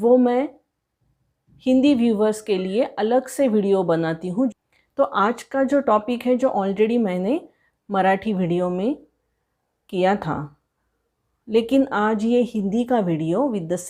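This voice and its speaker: Long, frequent pauses in a woman's fairly high, dark, mellow voice with lively intonation. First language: Marathi (speaking Hindi). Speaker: tarot reader. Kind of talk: tarot reading for viewers.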